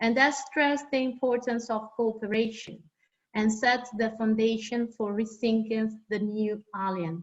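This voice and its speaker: A woman with a non-native accent speaks at a fairly slow pace in a fairly high pitch. Her voice is somewhat breathy, her intonation fairly even. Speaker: academic panelist. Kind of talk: reading aloud. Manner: halting.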